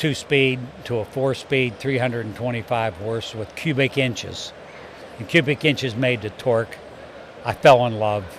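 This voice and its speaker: Fairly even intonation marks a man speaking at a moderate pace with noticeable background noise. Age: 70s. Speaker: business owner in trucking. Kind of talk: casual interview. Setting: trade show.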